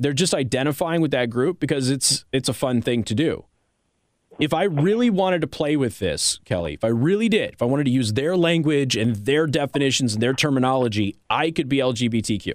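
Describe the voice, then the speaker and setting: A man's normal speaking voice, fairly high in pitch, at a fairly quick pace with lively intonation and very even loudness. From Las Vegas, Nevada. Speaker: conservative talk radio host. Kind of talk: talk radio monologue and call-in. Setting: radio studio.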